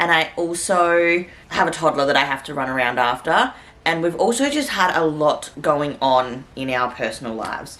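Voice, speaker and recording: A woman's very deep, low voice with an Australian accent, lively intonation and a moderate pace, over noticeable background noise. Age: 20s. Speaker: vlogger. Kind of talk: casual vlog talk to camera.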